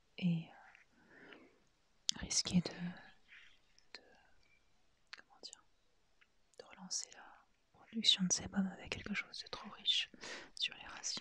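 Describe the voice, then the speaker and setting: Whispering in a relaxed tone, a woman talks very slowly with long, frequent pauses and big swings in loudness. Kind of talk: ASMR haul, whispered and soft-spoken. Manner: hesitant, relaxed.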